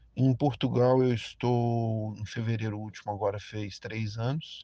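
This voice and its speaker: The delivery is very slow, with a dark, mellow tone. Intonation stays fairly even against a quiet background. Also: man. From Brazil, Brasília. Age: 50s. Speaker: delivery worker and labor activist. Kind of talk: interview answers, recorded audio.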